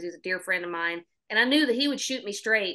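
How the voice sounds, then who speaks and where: Here a woman speaks in a Southern US accent. She talks very fast. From Oklahoma. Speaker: singer-songwriter. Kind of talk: podcast interview.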